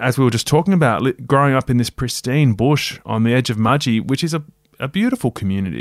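This man speaks very fast with an Australian accent at a medium pitch. The sound is dry and close, with no echo. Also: ordinary pitch variation. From Australia, rural New South Wales. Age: 40s. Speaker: broadcaster and author. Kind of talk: casual interview.

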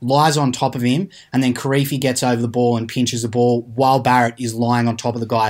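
Male voice with an Australian accent, medium pitch, fairly quick pace and fairly even intonation. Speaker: rugby podcast co-host, journalist. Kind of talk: casual sports chat. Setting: remote, out of the studio.

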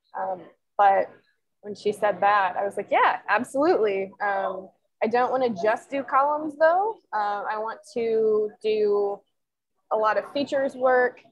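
In an American accent, a woman talks at a fairly slow pace with a normal speaking voice, a fairly high pitch, and ordinary pitch variation. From Nebraska. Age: 20s. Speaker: sports columnist. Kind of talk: casual interview chat.

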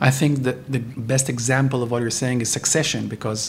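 A man talks at a medium pitch. Noticeable background noise is present. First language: Hebrew. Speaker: podcast host interviewer. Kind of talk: interview. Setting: hotel interview.

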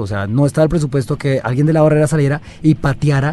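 Talking very fast, a man holds a medium pitch. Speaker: podcast co-host. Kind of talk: casual chat.

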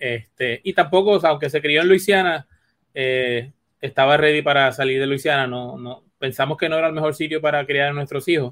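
A man talks in an ordinary speaking voice with a fairly high pitch. His intonation stays fairly even. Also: fairly quick pace. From Puerto Rico. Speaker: veterinarian. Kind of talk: interview.

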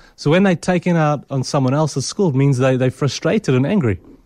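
The recording is dry and close with no echo, catching a man's fairly high-pitched, plain, everyday voice with ordinary pitch variation. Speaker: clinical psychologist. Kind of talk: radio interview. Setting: studio.

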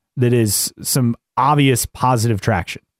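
Recorded very cleanly against a silent background, with a dry, close sound and no echo, a man has an ordinary speaking voice at medium pitch with ordinary pitch variation. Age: 30s. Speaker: motorsport podcast co-host. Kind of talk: casual chat.

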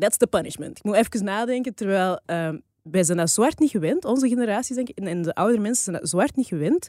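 A woman talks very fast at a medium pitch, her dark, mellow tone carried by lively intonation in a very clean recording with a silent background and a dry, close sound with no echo. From Flanders, Belgium. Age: 30s. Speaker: podcast co-host. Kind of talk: casual chat.

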